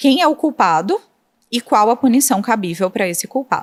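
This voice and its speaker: In a Recife accent, a woman with a fairly high voice and very wide pitch swings talks at a moderate pace, recorded very cleanly against a silent background with a dry, close sound and no echo. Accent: Northeastern Brazilian (Recife). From Brazil, Northeast (Recife, Pernambuco). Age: 30s. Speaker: prosecutor. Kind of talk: podcast interview. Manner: explanatory, didactic.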